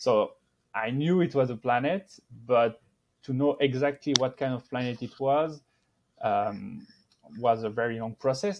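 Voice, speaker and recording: The speaker has a French accent and keeps a moderate pace. Pitch variation is ordinary. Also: man. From France. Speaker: astrophysicist. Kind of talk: interview. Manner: halting.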